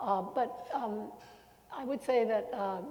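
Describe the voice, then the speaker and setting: Female speech with normal pitch movement, some audible room echo, and clearly noticeable background noise. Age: 80s+. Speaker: retired TV news anchor. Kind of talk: panel discussion. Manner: halting.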